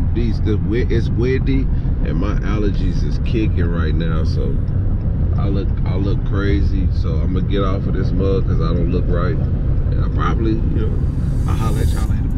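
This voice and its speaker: A man speaking at a moderate pace over loud background noise. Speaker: vlogger. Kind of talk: casual vlog chat. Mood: frustrated but upbeat. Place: car. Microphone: phone near.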